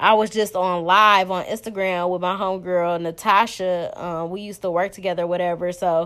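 Speaking at a moderate pace and medium pitch, a woman sounds animated on a very clean recording with a silent background. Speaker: podcast host. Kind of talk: angry rant, profane and heated, venting about relationships and disrespect. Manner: animated, loud, emphatic, fired-up and conversational; casual and unscripted, peppered with slang.

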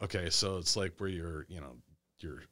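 A man with an American accent at a moderate pace, with fairly even intonation, on a very clean recording with a silent background. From Monroe, Michigan. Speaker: attorney and army veteran. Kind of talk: casual chat. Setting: studio.

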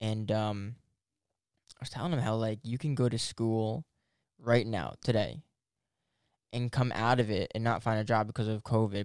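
A man speaks at a medium pitch and a moderate pace. The sound is dry and close, with no echo. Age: 20s. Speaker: podcast host. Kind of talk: casual chat. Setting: studio. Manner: animated.

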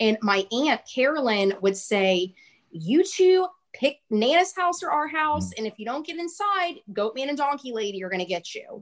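Speaking in a Texan accent at a moderate pace, a woman uses a high voice with very wide pitch swings. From central Texas, small rural town. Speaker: podcast host guest. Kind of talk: casual interview chat.

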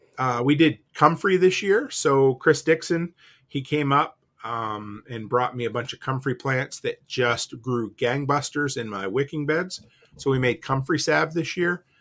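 A man with a normal speaking voice, fairly high in pitch, with ordinary pitch variation and big swings in loudness. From Nova Scotia, Canada. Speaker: homesteader and entrepreneur. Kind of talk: casual chat.

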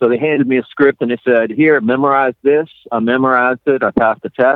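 A man at a medium pitch talks with ordinary pitch variation in an unremarkable speaking voice. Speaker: ghost photographer and author. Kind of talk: casual interview chat.

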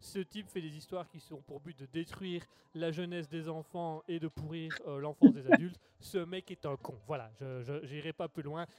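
A man at high pitch and moderate pace, with ordinary pitch variation, big swings in loudness, and a dry, close sound with no echo. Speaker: radio host. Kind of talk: casual chat. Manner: halting.

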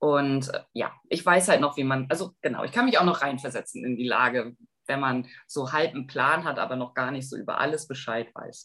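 A woman with a very deep, low pitch and a bright, sharp tone talks at a moderate pace, her loudness swinging widely. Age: 40s. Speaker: youth volunteer program coordinator. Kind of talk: interview.

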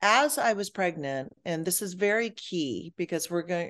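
A woman with a Midwestern accent speaks at a fairly low pitch and a moderate pace. Her pitch variation is ordinary, and the background is quiet. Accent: American Midwest. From Michigan, US. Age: 50s. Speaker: life coach and author. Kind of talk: interview.

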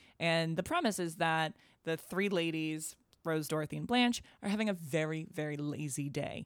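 Speaking at a moderate pace, a woman with an American accent and an unremarkable speaking voice has a fairly low pitch and ordinary pitch variation, on a very clean recording with a silent background and dry, close sound with no echo. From Boston. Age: 30s. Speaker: comedian and podcast host. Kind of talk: casual chat.

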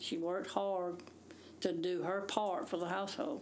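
Speaking very slowly, a woman with a Southern US accent keeps a fairly low pitch and fairly even intonation. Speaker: retired teacher, host's mother. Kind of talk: casual chat.

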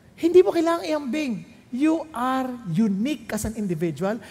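His pitch swinging very widely, a man talks at a fairly slow pace. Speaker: pastor. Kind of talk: sermon.

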